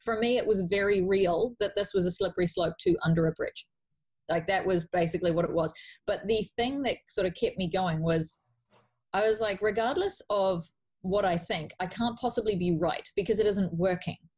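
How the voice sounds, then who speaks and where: A woman with a New Zealand accent, somewhat breathy and medium in pitch, speaks at a moderate pace with ordinary pitch variation and very even loudness on a very clean recording with a silent background. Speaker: life coach. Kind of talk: podcast interview. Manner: animated.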